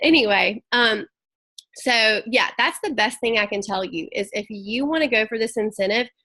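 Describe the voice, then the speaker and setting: A woman with a Southern US accent talks at a moderate pace. Her fairly high voice has a bright, sharp tone. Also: ordinary pitch variation. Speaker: network marketing team leader. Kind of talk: team training call. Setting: video call.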